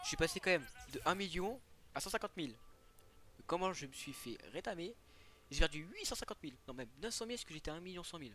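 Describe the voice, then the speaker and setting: With a high pitch and an animated tone, a man talks at a very fast pace and with lively intonation. His loudness swings widely, and he takes long, frequent pauses. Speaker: gaming YouTuber. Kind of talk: let's play commentary.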